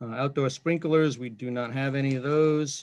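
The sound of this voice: With a slightly mellow tone, a man talks at a moderate pace and medium pitch, his intonation fairly even.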